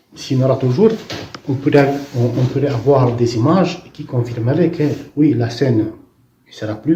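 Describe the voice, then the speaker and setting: A man with a non-native accent speaks at a medium pitch and a moderate pace, with ordinary pitch variation. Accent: foreign accent in French. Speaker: visionary recounting prophetic visions. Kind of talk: testimony. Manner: halting, with many false starts.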